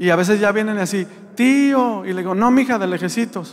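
This man's voice sits high in pitch and shows ordinary pitch variation. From Mexico, rural Jalisco area. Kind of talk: religious testimony. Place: church. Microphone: handheld.

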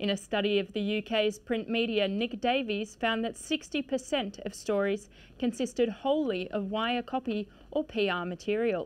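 An ordinary speaking voice from a woman, fairly high in pitch with ordinary variation, at a moderate pace with hardly any pauses. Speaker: trainee news presenter. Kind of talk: TV news intro read from autocue. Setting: studio. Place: studio. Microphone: lapel.

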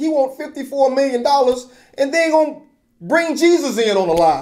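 This man has lively intonation. He speaks at a fairly quick pace. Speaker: video commentator / host of his own channel. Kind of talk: opinion commentary to camera. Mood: skeptical, mildly sarcastic.

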